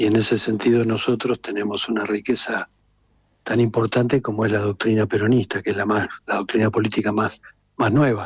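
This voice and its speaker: Fairly quick and monotone, a man talks with flat intonation in a fairly low, somewhat breathy voice, the sound dry and close with no echo. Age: 60s. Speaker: political activist. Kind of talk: radio interview.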